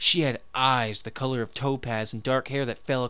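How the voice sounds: The natural reading voice holds a fairly even intonation throughout.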